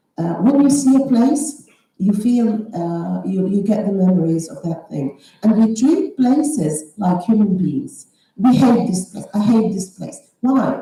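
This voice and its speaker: With a fairly high pitch and lively intonation, a woman speaks in a dark, mellow, somewhat breathy tone, her loudness swinging widely. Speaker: novelist. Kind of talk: panel discussion. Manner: halting, many fillers.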